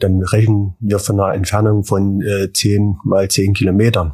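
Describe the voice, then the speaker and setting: The tone is dark, mellow and somewhat breathy. The pace is moderate. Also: man. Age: 40s. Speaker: farm manager. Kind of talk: interview.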